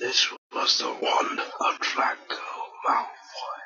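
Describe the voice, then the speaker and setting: A raspy, whispered put-on character voice moving at a very slow pace. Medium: machinima.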